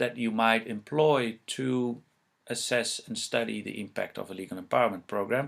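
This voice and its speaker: In a Dutch accent, a man speaks at a moderate pace with lively intonation. The recording is very clean, with a silent background. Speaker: researcher presenting on legal empowerment. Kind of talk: lecture. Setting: presentation with slides. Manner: halting, many fillers.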